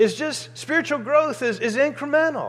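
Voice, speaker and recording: Speaking at a moderate pace, this man has an American accent. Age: 50s. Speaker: pastor. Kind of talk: sermon. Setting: church.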